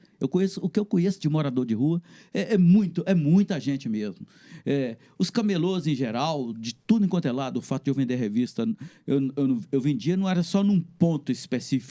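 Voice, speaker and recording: Speaking at a moderate pace, a man with a fairly high pitch and a dark, mellow tone uses lively intonation. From Minas Gerais, Brazil. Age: 60s. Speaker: comic book artist. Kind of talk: interview conversation.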